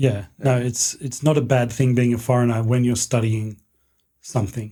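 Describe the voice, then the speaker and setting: A man with an Australian accent talks at a moderate pace and medium pitch, his tone dark and mellow, somewhat breathy, with monotone, flat intonation. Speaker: history professor. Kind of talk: casual interview.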